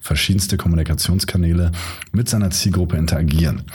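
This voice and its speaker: A man's very deep, low voice at a fairly quick pace, fairly even in intonation, with audible room echo and noticeable background noise. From Hamburg, northern Germany. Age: 30s. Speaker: podcast host, event manager. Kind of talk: solo podcast monologue, tutorial.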